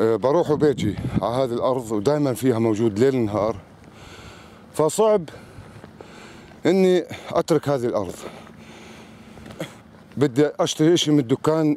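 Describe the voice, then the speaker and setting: With long, frequent pauses, a man at medium pitch speaks at a fairly slow pace with lively intonation, in a dry sound with no echo over light background noise. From Palestine, West Bank. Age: 50s. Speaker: farmer. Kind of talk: video diary talk to camera. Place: open country. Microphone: phone near.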